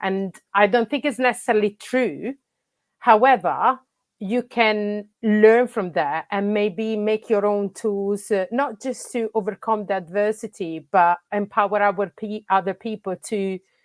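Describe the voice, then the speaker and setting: A woman with an Italian accent at a medium pitch, with fairly even intonation and a fairly slow pace, dry and close with no echo, in a very clean recording with a silent background. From Italy. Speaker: football coach and academy manager. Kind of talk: interview conversation. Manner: halting, many fillers.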